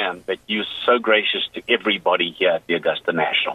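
Here a man talks at a fairly quick pace in a normal speaking voice. His pitch sits in the medium range. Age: 60s. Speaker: golf family member. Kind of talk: interview.

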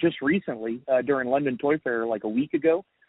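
A man with an American accent uses a normal speaking voice at medium pitch. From US South. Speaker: toy company marketing manager. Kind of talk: casual interview. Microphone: recorded over phone app, poor quality.

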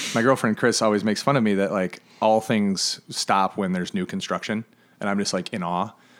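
This is an unremarkable speaking voice: a man with an American accent and a fairly low pitch. He talks at a fairly quick pace with fairly even intonation. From Michigan (Flint). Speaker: chef and podcast host. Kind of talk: casual chat. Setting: living room.

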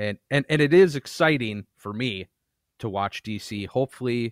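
An unremarkable speaking voice from a man, medium in pitch, with lively intonation and a dry, close sound with no echo, in a very clean recording against a silent background. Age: 30s. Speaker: podcast host. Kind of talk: casual chat.

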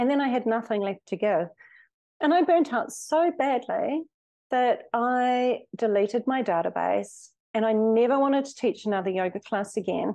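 With a New Zealand accent, a woman talks in a high pitch and a dark, mellow tone against a quiet background. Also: lively intonation, moderate pace. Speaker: hypnotherapist. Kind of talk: interview.

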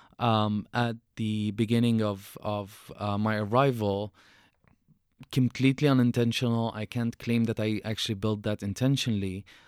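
Speaking with an Arabic accent at a moderate pace, a man with a fairly low pitch keeps a monotone, flat intonation in a very clean recording with a silent background. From Syria. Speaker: author and refugee activist. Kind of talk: interview.

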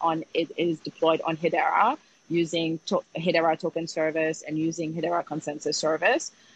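A woman speaks at a moderate pace, the sound dry and close with no echo. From Haiti. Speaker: fintech CEO. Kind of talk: interview. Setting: Twitter Spaces live audio.

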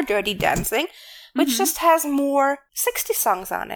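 A woman speaks with a German accent and a lively, bouncing intonation. The recording is very clean, with a silent background. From Germany. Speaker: podcast co-host. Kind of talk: casual chat.

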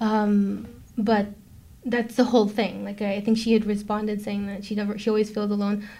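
At a fairly quick pace, a somewhat breathy, dark, mellow voice with an American accent delivers its words in a monotone, flat intonation. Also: woman, medium pitch for a woman. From New York (Brooklyn). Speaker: film producer. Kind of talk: interview.

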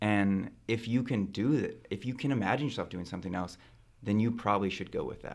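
With an American accent and an unremarkable speaking voice, a man talks at a fairly quick pace in a fairly low pitch, with ordinary pitch variation. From central California. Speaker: medical student. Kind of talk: casual chat.

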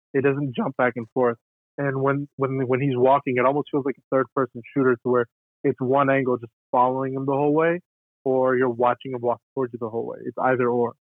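A man speaks at a fairly quick pace with a medium pitch. His intonation is monotone and flat. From born in Armenia, left as infant. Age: 20s. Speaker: videographer. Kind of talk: casual chat.

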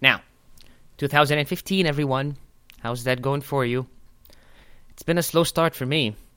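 In an Arabic accent, a man speaks with a fairly high, bright and sharp tone, fairly even intonation, and long, frequent pauses. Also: moderate pace, big swings in loudness. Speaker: podcast host, stand-up comedian. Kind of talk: casual chat.

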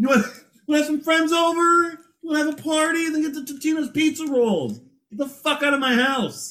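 A man puts on a character voice with an extremely high pitch, talking at a moderate pace. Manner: angry, shouting.

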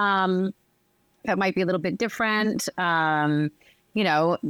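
In a very clean recording with a silent background and a dry, close sound with no echo, a woman uses a normal speaking voice at medium pitch, moving at a moderate pace with lively intonation. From US East Coast (Northern Virginia). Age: 40s. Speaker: pastry chef and entrepreneur. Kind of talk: casual chat.

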